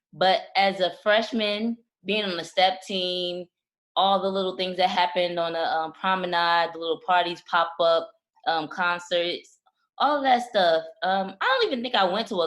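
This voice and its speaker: A woman speaks in an ordinary speaking voice. Her pitch is medium, with ordinary variation. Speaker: podcast co-host. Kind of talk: casual chat.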